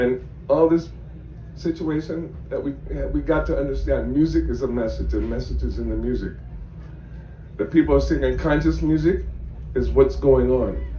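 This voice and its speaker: There is audible room echo as a man talks at a moderate pace with long, frequent pauses. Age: 60s. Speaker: audience member at press Q&A. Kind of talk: audience question and comment at press conference. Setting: festival press tent with audience.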